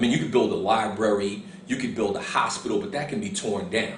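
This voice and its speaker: With a New York accent and a medium pitch, a man's voice takes very wide pitch swings amid audible room echo and noticeable background noise. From Harlem, New York. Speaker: author. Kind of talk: interview answers on camera.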